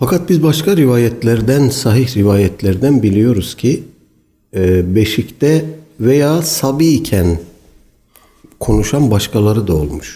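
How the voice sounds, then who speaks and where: Pausing long and often, a man with medium pitch speaks at a very slow pace, his dark, mellow, somewhat breathy voice swinging very widely in pitch while his loudness stays very even. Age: 60s. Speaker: Islamic preacher. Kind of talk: religious lecture.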